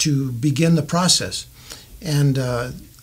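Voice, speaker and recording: A man with an American accent at a very slow pace, with noticeable background noise. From US West, southern Colorado. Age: 60s. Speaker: mayoral candidate. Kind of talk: interview. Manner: halting, many fillers.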